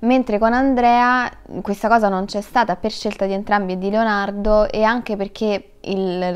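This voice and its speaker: Flat and monotone, a woman at medium pitch speaks at a fairly slow pace. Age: 20s. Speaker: actress; actress interviewee. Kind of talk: interview; interview answer. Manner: halting. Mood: relaxed, thoughtful. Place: studio.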